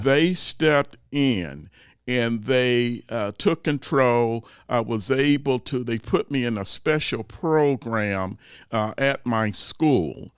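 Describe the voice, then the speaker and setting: A man speaks at a very slow pace with a medium pitch and ordinary pitch variation. The recording is very clean, with a silent background. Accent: Midwestern. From Youngstown, Ohio. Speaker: podcast host and motivational speaker. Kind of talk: podcast interview answer.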